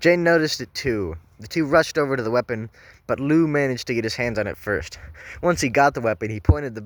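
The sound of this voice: The speaker uses an unforced reading voice.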